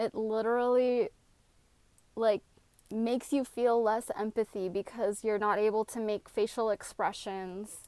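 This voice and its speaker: With a plain, everyday voice, a woman speaks at a fairly high pitch, fairly slowly, with fairly even intonation. The recording is very clean, with a silent background, and the sound is dry and close with no echo. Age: 30s. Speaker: vlogger. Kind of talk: casual chat.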